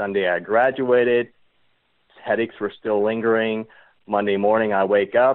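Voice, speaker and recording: A man talks in an unremarkable speaking voice. His pitch is fairly low. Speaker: cancer survivor and charity founder. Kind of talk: podcast interview.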